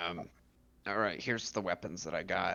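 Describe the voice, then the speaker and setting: The man's voice is a raspy, put-on character voice. The pace is moderate. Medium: actual play. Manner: gruff, matter-of-fact.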